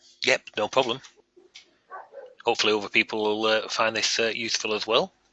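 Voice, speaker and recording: A man with a Northern English accent speaks at a fairly quick pace in a fairly low pitch, his intonation flat and monotone. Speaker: software developer running user group webinar. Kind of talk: technical webinar discussion. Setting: online webinar. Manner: fast.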